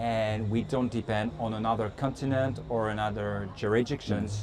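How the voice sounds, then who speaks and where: Amid noticeable background noise and audible room echo, a man with a French accent speaks at a moderate pace, medium in pitch with fairly even intonation. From France. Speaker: company executive. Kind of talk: interview. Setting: conference. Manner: halting.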